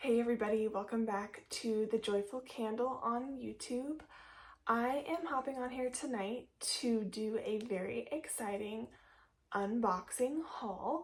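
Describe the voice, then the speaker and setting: A woman has an unremarkable speaking voice at a fairly high pitch. She talks at a fairly slow pace with ordinary pitch variation. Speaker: candle reviewer YouTuber. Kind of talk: unboxing haul video. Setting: home office room. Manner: casual, filler-heavy.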